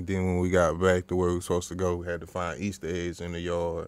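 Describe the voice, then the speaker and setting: A man's very deep, low voice moves at a fairly quick pace. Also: dry sound with no echo. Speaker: podcast co-host. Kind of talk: casual podcast chat. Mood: relaxed, amused. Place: studio.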